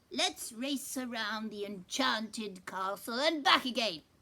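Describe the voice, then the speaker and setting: A woman puts on a character voice at a fairly high pitch. She speaks at a fairly slow pace. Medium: read story. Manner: boastful, sneering.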